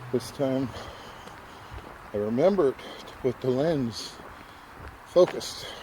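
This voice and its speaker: A man speaks at a medium pitch and a fairly slow pace, with ordinary pitch variation, long and frequent pauses, and noticeable background noise. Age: 60s. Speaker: walking vlogger. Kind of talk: casual vlog narration. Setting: outdoors on a walking trail.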